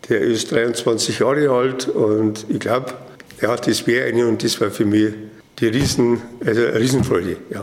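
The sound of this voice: In a room with audible echo, a man speaks at a medium pitch and moderate pace, with fairly even intonation and few pauses.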